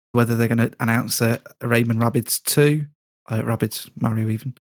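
Delivered at a moderate pace with fairly even intonation, this is an ordinary speaking voice with a dry, close sound and no echo. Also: man. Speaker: listener joining discussion. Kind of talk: casual chat. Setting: video call.

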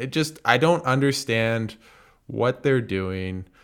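Speaking at a fairly slow pace, a man with medium pitch and an unremarkable speaking voice uses lively intonation. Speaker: basketball analyst and podcast host. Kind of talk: casual interview chat.

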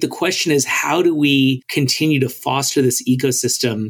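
An ordinary speaking voice, this man talks in a fairly high pitch with an American accent. His intonation is fairly even, his pace moderate. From New York (Brooklyn). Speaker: venture capital investor. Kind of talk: interview.

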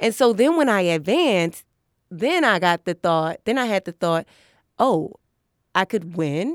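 Lively intonation in a New York accent at a fairly slow pace, with long, frequent pauses, a dry, close sound with no echo, and a very clean recording with a silent background. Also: woman, medium pitch for a woman. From New York City, Harlem. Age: 30s. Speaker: comedian. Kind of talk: casual chat. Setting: studio.

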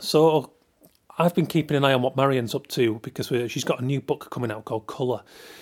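A man talks at a very fast pace in a Yorkshire accent. His pitch sits in the medium range. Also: ordinary pitch variation, dry, close sound with no echo. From Yorkshire, northern England. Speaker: podcast host, illustrator. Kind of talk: podcast intro and sponsor reads. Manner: casual, chatty.

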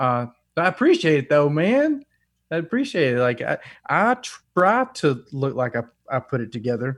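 A man with a Southern US accent and a fairly high pitch, at a moderate pace, with very wide pitch swings. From US South, North Alabama. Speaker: rock musician. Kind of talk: casual chat.

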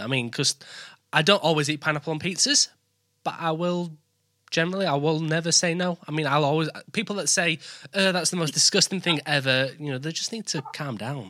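Speaking at a fairly quick pace in a strong Yorkshire accent, a man uses a bright, sharp tone at fairly high pitch with ordinary pitch variation, on a very clean recording with a silent background. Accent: thick Yorkshire English. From born in West Bromwich near Birmingham, lives in East Yorkshire. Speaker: podcast host.

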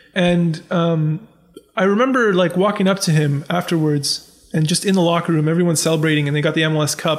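With a Canadian accent, a man speaks at a high pitch. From Ontario, Canada (Scarborough and Pickering). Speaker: sports writer. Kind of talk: casual interview chat.

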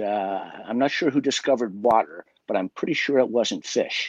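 A man with an unremarkable speaking voice and an American accent talks at a moderate pace with lively intonation. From West Virginia. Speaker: magician. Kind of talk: casual chat.

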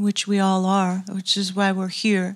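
A somewhat breathy woman's voice with an American accent. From Southern California. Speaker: music producer and professor. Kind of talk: lecture interview on stage. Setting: stage with audience.

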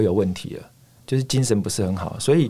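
This is a man's voice. His tone is dark and mellow. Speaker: ultramarathon runner. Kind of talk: casual interview.

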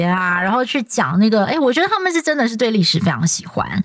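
Over noticeable background noise, a woman with a Taiwanese accent speaks with very wide pitch swings. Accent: Taiwanese Mandarin. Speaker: TV news anchor and podcast host. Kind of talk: casual chat. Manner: smooth, even delivery.

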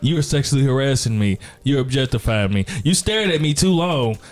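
Behind this man there is noticeable background noise. He has a fairly high pitch and lively intonation. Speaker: podcast host. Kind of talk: casual banter podcast chat.

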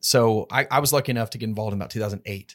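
A man with an American accent and a normal speaking voice, fairly low in pitch, with fairly even intonation, in a very clean recording with a silent background and a dry, close sound with no echo. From Texas. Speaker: podcast host. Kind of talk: interview. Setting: studio.

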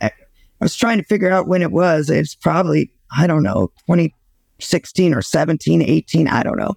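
With an American accent, a woman speaks with lively intonation and vocal fry. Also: fairly low pitch for a woman, moderate pace, dry, close sound with no echo. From San Diego, California. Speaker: public relations firm owner. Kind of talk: casual interview. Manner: halting, many fillers.

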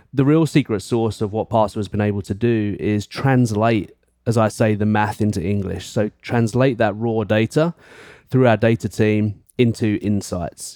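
A man with an American accent speaks at a moderate pace in a dark, mellow tone with fairly even intonation. The recording is very clean with a silent background and a dry, close sound with no echo. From East London. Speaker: insurance executive. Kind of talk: casual interview.

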